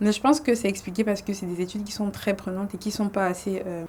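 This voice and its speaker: A woman talks at a very fast pace. Her medium-pitched voice keeps a fairly even intonation. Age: 20s. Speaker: medical student. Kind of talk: podcast interview. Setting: studio.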